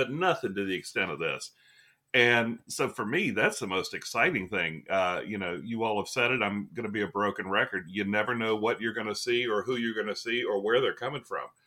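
A man speaks in a normal speaking voice at a medium pitch and a fairly quick pace, with ordinary pitch variation. The recording is very clean, with a silent background. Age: 50s. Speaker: wrestling podcast co-host. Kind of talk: casual chat.

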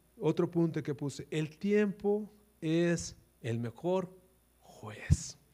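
A man's high, dark, mellow voice at a very slow pace, with lively intonation. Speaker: pastor. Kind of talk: sermon.

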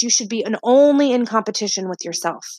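Fairly high in pitch, a woman speaks in an ordinary speaking voice. She moves at a fairly quick pace. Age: 20s. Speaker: podcast host, stay-at-home mom and wellness business owner. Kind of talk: motivational solo podcast talk. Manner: frequent filler words (uh, um).

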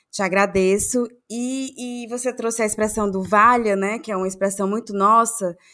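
A woman speaks at a moderate pace with a fairly high pitch. Her tone is bright and sharp, her intonation fairly even. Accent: Cearense. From Ceará, Brazil. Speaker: podcast co-host. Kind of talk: casual chat.

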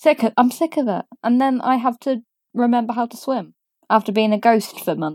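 The speaker has a British accent and a moderate pace with ordinary pitch variation. The recording is dry and close, with no echo. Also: woman, fairly high pitch for a woman. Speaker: podcast guest. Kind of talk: casual chat.

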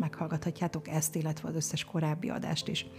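A woman speaks with a very deep, low pitch and a dark, mellow tone. Vocal fry runs through her voice. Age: 50s. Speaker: podcast host. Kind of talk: podcast interview; show outro announcement.

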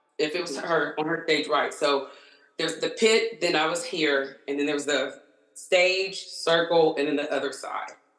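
Amid audible room echo, a woman with a very deep, low pitch speaks at a moderate pace and with fairly even intonation. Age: 30s. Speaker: concert-goer. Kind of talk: casual chat.

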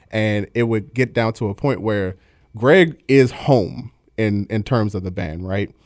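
A man with a Baltimore accent speaks at a fairly slow pace and fairly low pitch with ordinary variation, on a very clean recording with a silent background. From Baltimore, Maryland. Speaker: drummer and band manager. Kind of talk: casual interview chat. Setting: studio.

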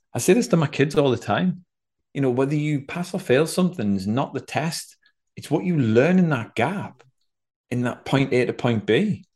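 A man speaks with a fairly high pitch. His voice is somewhat breathy at a moderate pace. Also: lively intonation. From northeast England. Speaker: former Olympic swimmer, executive coach. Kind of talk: interview.

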